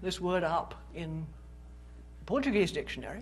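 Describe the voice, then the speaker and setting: At a moderate pace, a woman with a British accent speaks amid audible room echo. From Britain. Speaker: philosophy professor. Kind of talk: public lecture. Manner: conversational, with fillers.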